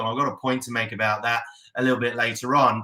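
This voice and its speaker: An Australian-accented man with an upbeat tone and a bright, sharp sound. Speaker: real estate coach and auctioneer. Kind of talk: casual talk to camera.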